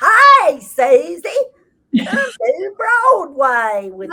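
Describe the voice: In a put-on character voice with a Texas accent, the speaker goes very slowly at an extremely high pitch with very wide pitch swings. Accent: exaggerated Texas.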